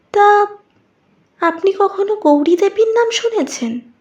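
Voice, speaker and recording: In a put-on character voice, a woman speaks at an extremely high pitch and a fairly slow pace. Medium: audio drama. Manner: soft, insinuating, knowing.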